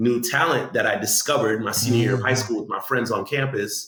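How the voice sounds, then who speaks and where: An unremarkable speaking voice with an American accent keeps a fairly even intonation. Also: man. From Guyanese heritage, Orlando, USA. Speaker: spoken word poet, city poet laureate. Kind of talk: interview answer telling personal story. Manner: conversational, casual.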